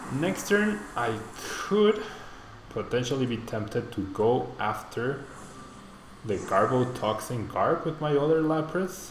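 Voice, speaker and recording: A man speaks at a very slow pace and a medium pitch, with very wide pitch swings. Audible room echo and noticeable background noise surround him. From Mexico. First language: Spanish. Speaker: streamer. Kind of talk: live gameplay commentary; casual chat answering viewers. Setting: live stream. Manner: casual, thinking aloud.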